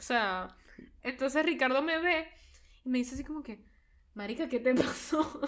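At a moderate pace, a woman with a high voice and ordinary pitch variation speaks with long, frequent pauses. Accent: Caracas. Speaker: podcast co-host. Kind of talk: casual chat.

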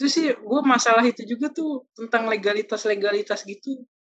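A woman speaks at a high pitch with ordinary pitch variation. Her pace is fairly quick. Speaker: podcast host, university student. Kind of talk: casual chat.

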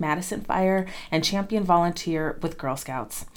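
A woman with an ordinary speaking voice talks at a fairly low pitch, and her pitch rises and falls in an ordinary way. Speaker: podcast host and career advisor. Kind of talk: interview.

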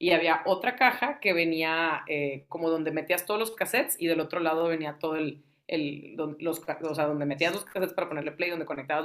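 A woman's plain, everyday voice, fairly low in pitch, fairly quick, with ordinary pitch variation. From Tamaulipas, Mexico. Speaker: radio host and music lover. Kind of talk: casual interview chat.

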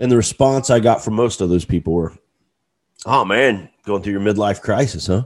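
On a very clean recording with a silent background, a man with a normal speaking voice talks at a fairly low pitch and moderate pace, using ordinary pitch variation. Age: 40s. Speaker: podcast host. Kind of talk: solo motivational monologue. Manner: casual, with frequent fillers and repetitions.

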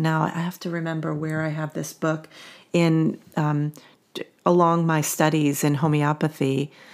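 Recorded very cleanly against a silent background, a woman with an American accent speaks in a very deep, low voice. Her pace is fairly slow. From New Jersey, US. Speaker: podcast host, homeopathy educator. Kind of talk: casual conversational podcast.

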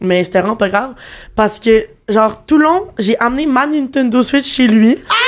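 Speaking with lively intonation and very even loudness, a woman has a fairly high pitch and an unremarkable speaking voice. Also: moderate pace. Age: 20s. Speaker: dating show contestant. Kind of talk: casual chat. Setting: studio.

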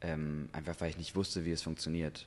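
A man speaks with a very deep, low pitch. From Germany, Hamburg. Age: 20s. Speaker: actor. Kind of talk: casual chat.

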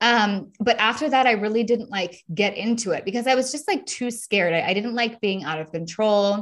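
With lively intonation, a woman talks at a moderate pace in a fairly high pitch. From US, Los Angeles. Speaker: sobriety coach. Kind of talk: interview testimony.

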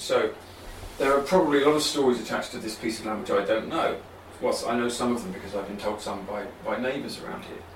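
Amid noticeable background noise, a man with a southern English accent talks very fast with lively intonation and big swings in loudness. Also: medium pitch for a man. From southeast England (London and Kent). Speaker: writer. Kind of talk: interview conversation. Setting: writing cabin.

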